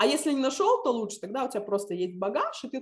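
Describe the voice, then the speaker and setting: Here a woman talks in a normal speaking voice at a fairly quick pace. Her intonation is lively. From Lithuania (Visaginas). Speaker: civic activist and teacher. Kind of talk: interview.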